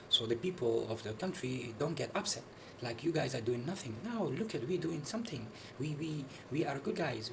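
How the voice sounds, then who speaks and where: Noticeable background noise and audible room echo surround a man's voice. He talks at a fairly quick pace with a fairly high pitch and lively intonation. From Netherlands. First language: Dutch. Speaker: video commentator. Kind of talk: video commentary. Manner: halting, many fillers and repetitions.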